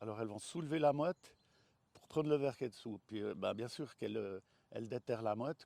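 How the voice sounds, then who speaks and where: Recorded with a dry, close sound and no echo, a man's dark, mellow voice at a medium pitch moves with lively intonation. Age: 60s. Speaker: vegetable grower and fruit farmer. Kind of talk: interview. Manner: halting, many hesitations.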